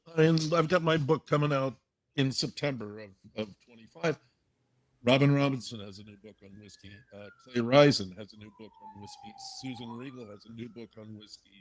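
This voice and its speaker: Talking at a fairly quick pace, a man with a medium pitch shows ordinary pitch variation and big swings in loudness. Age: 60s. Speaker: whiskey writer and author. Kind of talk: podcast interview. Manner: halting, with many fillers.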